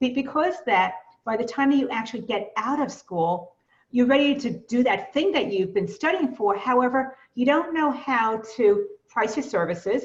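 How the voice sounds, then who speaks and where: This woman has a Brooklyn accent and a fairly high pitch. Her intonation is lively. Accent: Brooklyn New York. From US Northeast, Brooklyn, New York. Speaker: business coach. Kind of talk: webinar presentation.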